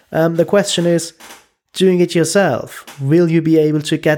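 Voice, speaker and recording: A man with a German accent speaks at a moderate pace in a dark, mellow tone. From Germany. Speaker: podcast guest. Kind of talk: casual interview.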